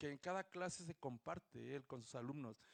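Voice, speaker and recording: The speech moves at a fairly slow pace with ordinary pitch variation, in a dry, close sound with no echo. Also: man. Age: 60s. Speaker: audience member at book presentation. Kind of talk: audience comment at book presentation. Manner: halting.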